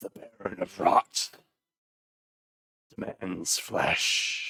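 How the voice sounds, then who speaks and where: In a put-on character voice, the speaker talks raspily at a very slow pace. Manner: demanding, menacing.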